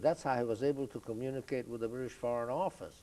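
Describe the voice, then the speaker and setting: This man speaks with a Hungarian accent. His voice sits at a medium pitch. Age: 80s+. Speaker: Holocaust survivor. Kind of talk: oral history interview. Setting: video studio. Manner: halting, many fillers.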